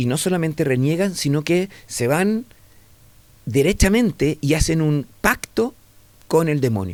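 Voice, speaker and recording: Animated in tone, a man speaks at a fairly slow pace. His fairly high pitch moves in very wide swings. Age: 60s. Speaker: entomologist and science educator. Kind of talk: radio interview conversation.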